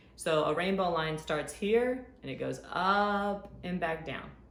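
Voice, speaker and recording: A woman's animated voice, with ordinary pitch variation, carries audible room echo. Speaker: art teacher. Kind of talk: tutorial. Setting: recorded video lesson.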